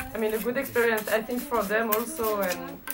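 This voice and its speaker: Noticeable background noise behind a woman talking at an average speed. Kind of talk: interview answer. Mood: amused, warm. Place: workshop.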